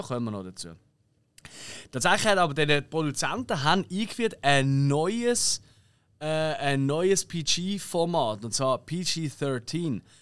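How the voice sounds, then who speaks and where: A man talks in a Swiss accent at a fairly slow pace, his voice fairly high-pitched. His tone is animated with lively intonation, on a very clean recording with a silent background. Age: 30s. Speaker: podcast host. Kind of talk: casual chat.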